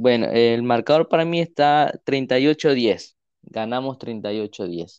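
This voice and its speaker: Very slow speech from a man at medium pitch with ordinary pitch variation, dry and close with no echo, against a quiet background. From Ecuador. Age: 20s. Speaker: civil engineer and football fan. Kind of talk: casual podcast chat.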